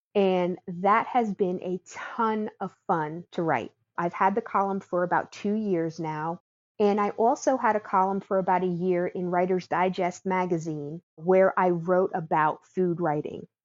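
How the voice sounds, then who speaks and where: This woman has an ordinary speaking voice and a medium pitch, in an American accent. She talks at a fairly slow pace. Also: ordinary pitch variation. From New Jersey, US. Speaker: home baker and food writer. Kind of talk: interview.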